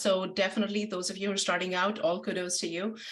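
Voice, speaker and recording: With an Indian accent, the speaker goes at a fairly quick pace in a monotone, flat intonation. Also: woman. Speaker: marketing agency founder and webinar presenter. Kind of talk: webinar presentation. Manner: fast.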